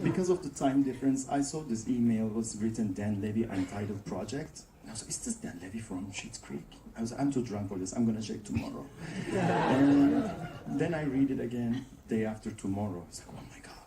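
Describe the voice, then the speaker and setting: Speaking fairly quickly with a Turkish accent, the voice has lively intonation and big swings in loudness over noticeable background noise. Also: man. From Turkey. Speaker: actor. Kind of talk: panel interview.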